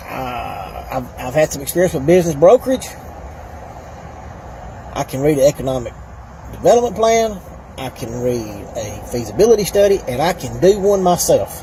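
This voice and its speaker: Amid noticeable background noise, a man with a fairly high pitch speaks at a moderate pace, with very wide pitch swings and big swings in loudness. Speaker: plumber and political candidate. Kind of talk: casual talk to camera.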